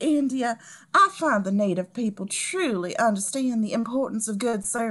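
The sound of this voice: Ordinary pitch variation marks an unforced reading voice.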